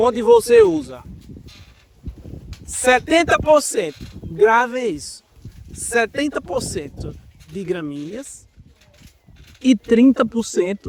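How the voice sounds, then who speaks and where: A man speaks in an extremely high voice with very wide pitch swings. His pace is very slow, with long, frequent pauses. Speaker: university professor. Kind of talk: lecture.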